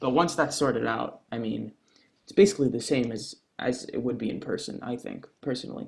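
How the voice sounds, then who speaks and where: Here a man talks fairly quickly at a medium pitch, with vocal fry, ordinary pitch variation and big swings in loudness. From Quebec, Montreal. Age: 20s. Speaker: singer and actor. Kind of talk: casual interview.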